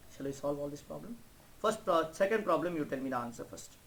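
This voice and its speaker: A man speaks at a fairly high pitch. Room echo is audible around him. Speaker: math teacher. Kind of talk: lecture. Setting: online class.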